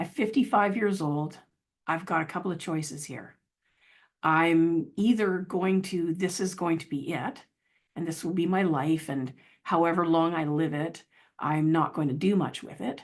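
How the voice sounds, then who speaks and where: Against a quiet background, a woman speaks at a moderate pace with a fairly low pitch and ordinary pitch variation. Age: 60s. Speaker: motivational speaker and children's author. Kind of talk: inspirational talk. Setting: video call. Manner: halting.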